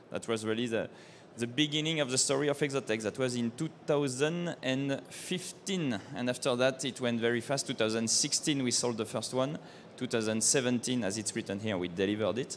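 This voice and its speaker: With a French accent, a man talks at a fairly quick pace. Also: medium pitch for a man, ordinary pitch variation. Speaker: company co-founder, engineer. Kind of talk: trade show seminar presentation. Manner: halting.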